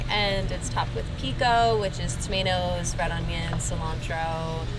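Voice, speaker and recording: Clear music can be heard in the background. Over it, a woman talks at a moderate pace. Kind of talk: interview answer. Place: garden. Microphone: lapel.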